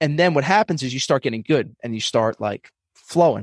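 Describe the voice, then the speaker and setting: A man with a normal speaking voice, medium pitch and lively intonation at a fairly quick pace, in a dry, close sound with no echo. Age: 30s. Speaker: financial advisor and comedian. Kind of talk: casual interview chat.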